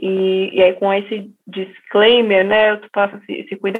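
A woman's voice at a medium pitch. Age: 30s. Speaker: energy company executive. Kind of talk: interview. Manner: hesitant, many fillers.

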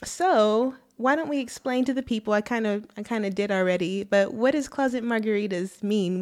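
Pitched fairly high with ordinary pitch variation, a woman talks in a plain, everyday voice. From Texas, Arlington. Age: 30s. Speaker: podcast co-host. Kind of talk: casual chat. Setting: studio.

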